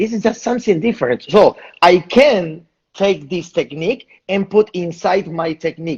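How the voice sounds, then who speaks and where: At a moderate pace, a man speaks in a high voice with lively intonation. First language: Spanish. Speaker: salsa dance teacher. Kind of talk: interview. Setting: live online video interview. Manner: halting, repetitive.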